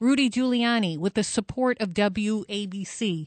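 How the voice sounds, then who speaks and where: A woman's a normal speaking voice, medium in pitch with lively intonation, in a quiet background with a dry, close sound with no echo. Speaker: fill-in radio host, doctor. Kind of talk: talk radio monologue with callers. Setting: studio.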